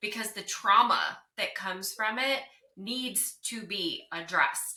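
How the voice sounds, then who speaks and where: A woman speaks with a slight Southern US accent. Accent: slight Southern twang. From US South, North Carolina. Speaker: divorce recovery coach. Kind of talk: interview.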